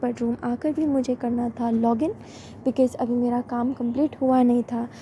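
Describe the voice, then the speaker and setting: Over noticeable background noise, a woman speaks at a moderate pace in a high pitch. Her intonation is monotone and flat. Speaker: vlogger. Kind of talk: vlog voice-over narration.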